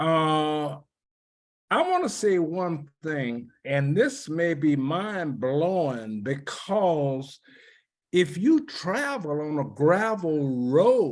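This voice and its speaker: In a New Orleans accent, a man speaks at a very slow pace with lively intonation. His pitch is fairly high, and the recording is very clean with a silent background. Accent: New Orleans Southern US. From US South, New Orleans. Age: 80s+. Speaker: civil rights veteran. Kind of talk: oral history interview.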